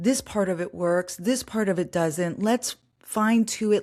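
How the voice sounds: A woman speaks with a slightly mellow tone. The recording is very clean, with a silent background.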